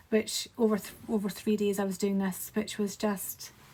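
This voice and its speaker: Speaking in a Scottish accent, a woman with a medium pitch sounds somewhat breathy and keeps a moderate pace. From Scotland. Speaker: graphic designer. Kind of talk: casual talk to camera.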